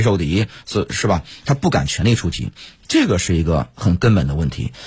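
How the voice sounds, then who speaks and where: Fairly quick male speech with very wide pitch swings and vocal fry. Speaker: radio host and military commentator. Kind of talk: casual analytical discussion. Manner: hesitant, many fillers.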